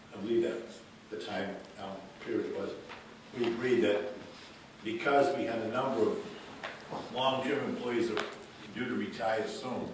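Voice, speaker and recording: A man talks at a moderate pace with long, frequent pauses. Strong room echo and noticeable background noise surround his voice. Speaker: resident speaking at public comment. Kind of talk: public comment recollection. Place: meeting room. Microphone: camera far.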